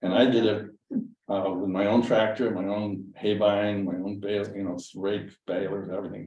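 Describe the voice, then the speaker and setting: A man with a fairly low pitch speaks in a flat monotone, with audible room echo around him. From western Massachusetts. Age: 70s. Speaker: landowner, retired dentist. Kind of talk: casual chat. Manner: halting.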